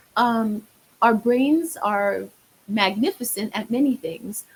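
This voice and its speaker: Speaking with a New York accent, a woman has a fairly high pitch and a somewhat breathy voice. Her pace is very slow. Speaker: marriage therapist. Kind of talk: podcast interview.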